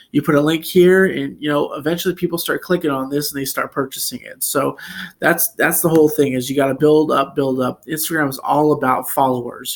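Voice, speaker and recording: Talking at a very fast pace, a man keeps his intonation fairly even. His pitch sits fairly high. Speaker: online marketing tutorial youtuber. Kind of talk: tutorial. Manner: casual with many fillers.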